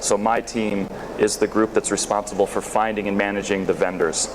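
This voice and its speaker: There is noticeable background noise behind this clip. A man with an American accent talks at a moderate pace and a fairly low pitch. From northern US near Canada. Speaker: sourcing consultant. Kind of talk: conference talk. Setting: stage with audience. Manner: halting with frequent repetitions and fillers.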